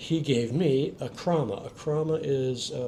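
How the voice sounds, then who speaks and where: Somewhat breathy and dark, mellow in tone, a man with an American accent speaks at medium pitch with ordinary pitch variation. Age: 60s. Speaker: expat. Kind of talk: interview.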